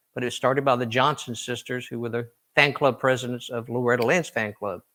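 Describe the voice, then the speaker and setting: With a Southern US accent, a man speaks in a bright, sharp tone. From US South, Tennessee. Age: 60s. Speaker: country singer. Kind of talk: interview.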